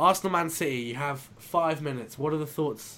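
At a moderate pace, a man talks in an unremarkable speaking voice, fairly high in pitch with ordinary variation. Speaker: podcast host. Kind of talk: casual chat. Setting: remote call recording.

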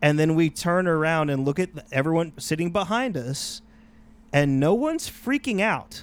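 A man with an ordinary speaking voice, fairly high pitch for a man, ordinary pitch variation and a moderate pace, on a very clean recording with a silent background. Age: 30s. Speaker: podcast host. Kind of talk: casual chat.

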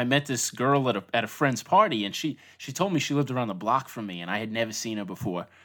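A man with a New York accent speaks at a fairly quick pace in a bright, sharp tone, his pitch medium with ordinary variation. The recording is very clean, with a silent background. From Long Island, New York. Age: 30s. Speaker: designer and hand letterer. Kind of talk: interview, casual conversation.

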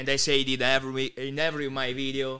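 Speaking at a moderate pace with an Italian accent, a man has a fairly high pitch and a bright, sharp tone. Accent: Italian-accented English, Bari. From Italy, Bari (Puglia). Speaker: content creator. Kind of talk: casual interview.

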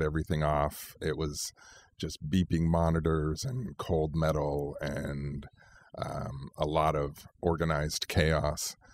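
A man with a Californian accent speaks at a very slow pace, in a very deep, low pitch with fairly even intonation. The very clean recording has a silent background and a dry, close sound with no echo. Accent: Californian American. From California, Central Valley. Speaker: lawyer. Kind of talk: interview.

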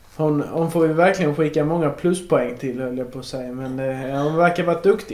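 At a fairly quick pace, a man with fairly high pitch and ordinary pitch variation speaks amid noticeable background noise and audible room echo. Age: 20s. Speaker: podcast host interviewing his grandmother. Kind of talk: casual chat. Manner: halting.

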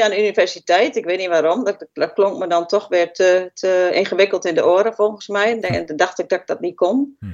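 A woman speaks in an unremarkable speaking voice, keeping a moderate pace. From Twente, eastern Netherlands (Haaksbergen). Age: 50s. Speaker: healthcare worker. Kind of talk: interview.

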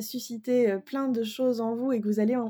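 In a very clean recording with a silent background, a woman speaks at a high pitch with a dark, mellow tone. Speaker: podcast host and osteopath. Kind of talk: interview. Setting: guest's office. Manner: playful, upbeat.

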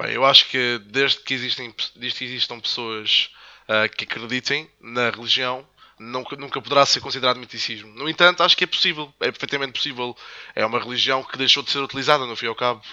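A man speaks at a very fast pace. His intonation is fairly even. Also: medium pitch for a man. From Madeira, Portugal. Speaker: podcast co-host. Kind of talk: casual chat.

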